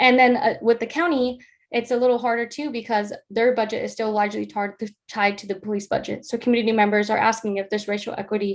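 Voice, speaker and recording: With an American accent, a woman talks at a very fast pace and fairly high pitch. Her intonation is fairly even, and the background is quiet. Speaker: honors student presenter. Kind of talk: research presentation.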